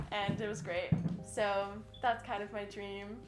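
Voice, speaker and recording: A woman with an American accent at a moderate pace, amid audible room echo and noticeable background noise. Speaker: singer. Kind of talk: casual interview.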